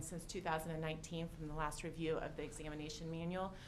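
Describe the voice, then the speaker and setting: A woman speaks over noticeable background noise. Audible room echo surrounds her voice. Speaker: director of medical services. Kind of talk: formal presentation at public meeting. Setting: hearing room, in person meeting. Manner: hesitant, many fillers.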